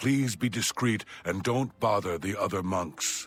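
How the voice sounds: A man's put-on character voice, fairly low in pitch and fairly slow, with faint music in the background.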